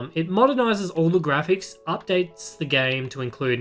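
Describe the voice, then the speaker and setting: Lively intonation at a moderate pace, with music playing in the background. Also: man. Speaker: TV and game reviewer. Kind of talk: casual review talk to camera.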